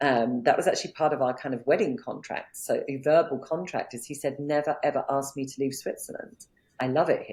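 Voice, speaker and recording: The pace is fairly quick. Loudness swings widely throughout. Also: woman, very deep, low pitch for a woman, ordinary pitch variation. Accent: non-native. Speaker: business coach. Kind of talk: interview.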